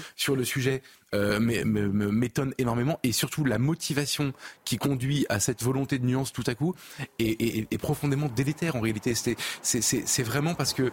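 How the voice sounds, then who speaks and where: The sound is dry and close with no echo as a man speaks in a somewhat breathy voice at a moderate pace and very even loudness. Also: medium pitch for a man, ordinary pitch variation. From Paris region, France. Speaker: journalist, newspaper editor. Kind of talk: televised debate.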